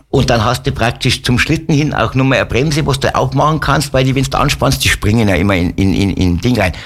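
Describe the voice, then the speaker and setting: A man's medium-pitched voice with vocal fry, lively intonation, very even loudness and a fairly quick pace. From Upper Bavaria (Wolfratshausen). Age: 60s. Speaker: musician and sled dog musher. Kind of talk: casual interview chat. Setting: radio studio.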